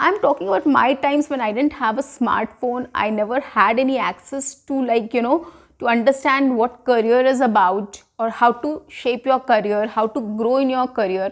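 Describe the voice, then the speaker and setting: At a moderate pace and with hardly any pauses, a woman talks in a high pitch with ordinary pitch variation. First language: not English (learned it at school). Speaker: English teacher. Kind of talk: online tutorial. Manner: conversational, uses many fillers.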